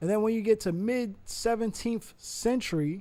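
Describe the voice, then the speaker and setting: On a very clean recording with a silent background, a man with a high pitch talks at a fairly slow pace in an animated tone, his pitch varying in an ordinary way. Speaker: podcast host. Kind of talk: casual lecture. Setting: livestream.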